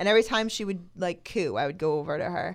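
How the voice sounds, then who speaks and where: In a very clean recording over a silent background, a woman with an American accent speaks at a fairly quick pace in a fairly low pitch, an unremarkable speaking voice. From New Jersey, Toms River. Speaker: strongwoman athlete. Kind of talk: casual chat.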